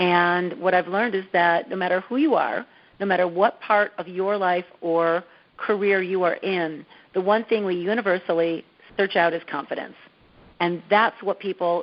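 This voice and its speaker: Speaking in a plain, everyday voice at medium pitch, a woman keeps a moderate pace. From US Midwest, Dearborn, Michigan. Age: 50s. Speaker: TV host and confidence coach. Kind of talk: interview.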